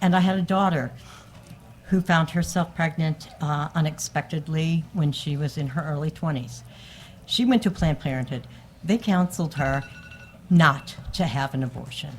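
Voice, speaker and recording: Over music in the background, a woman with an American accent talks at a moderate pace in a very deep, low pitch, with ordinary pitch variation. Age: 60s. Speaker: member of the public testifying. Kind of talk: testimony. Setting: committee hearing room. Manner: halting.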